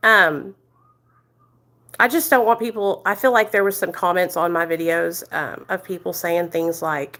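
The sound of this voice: A loud, fairly low female voice with a bright, sharp tone, fairly even intonation and an American country accent, moving at a fairly slow pace. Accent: American country twang.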